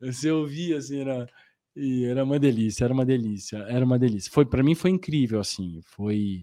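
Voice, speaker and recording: This man talks at a fairly quick pace with ordinary pitch variation and a dark, mellow tone. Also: medium pitch for a man. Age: 40s. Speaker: actor. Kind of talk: interview. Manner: animated.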